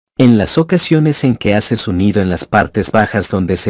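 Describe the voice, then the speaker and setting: A man with a plain, everyday voice and medium pitch speaks with lively intonation. The sound is dry and close with no echo, on a very clean recording with a silent background. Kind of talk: storytelling, reading aloud a folk tale for students. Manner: even, clear, didactic narration.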